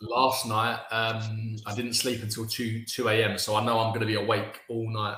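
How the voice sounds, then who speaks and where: In a British accent, a man speaks at a moderate pace and medium pitch with a monotone, flat intonation and hardly any pauses. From England. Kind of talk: interview answer. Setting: video call.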